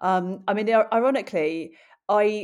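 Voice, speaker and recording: This woman speaks with an English accent at medium pitch and ordinary pitch variation. The recording is very clean, with a silent background. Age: 40s. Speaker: journalist, runner and presenter. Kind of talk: interview. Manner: halting.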